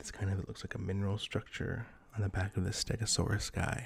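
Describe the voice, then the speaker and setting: A man's soft-spoken, somewhat breathy voice, fairly low and monotone, at a moderate pace. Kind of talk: ASMR card pack opening.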